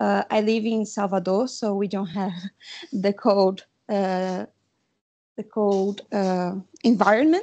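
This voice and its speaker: With a Brazilian accent, a woman speaks at a very slow pace in a dark, mellow tone, leaving long, frequent pauses. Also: medium pitch for a woman, fairly even intonation. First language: Portuguese. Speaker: webinar participant. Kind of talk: question from audience. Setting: video call. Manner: halting.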